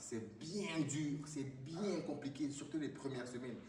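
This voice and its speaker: A man with a Cameroonian accent talks at a fairly high pitch with ordinary pitch variation, amid noticeable background noise and audible room echo. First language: Bassa (speaking French). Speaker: fitness motivator. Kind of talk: motivational talk to camera. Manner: halting.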